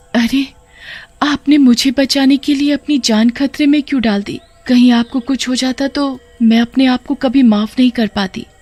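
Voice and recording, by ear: Over music in the background, a woman does a cartoonish character voice, high in pitch and at a moderate pace.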